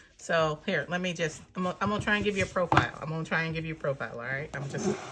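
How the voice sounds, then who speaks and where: Over noticeable background noise, a woman with a fairly low pitch talks at a very fast pace with ordinary pitch variation. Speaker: planner and journaling YouTuber. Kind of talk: casual video review. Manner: rambling, filler-heavy.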